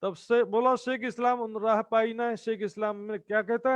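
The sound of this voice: An unforced reading voice carries the words. Its intonation stays fairly even.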